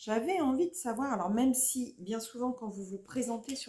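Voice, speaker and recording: Ordinary pitch variation from a woman's voice, moderately paced. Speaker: YouTuber, adult colouring hobbyist. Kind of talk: casual vlog chat. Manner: speaking louder than usual; hesitant, many fillers. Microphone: viewers struggle to hear her, quiet sound.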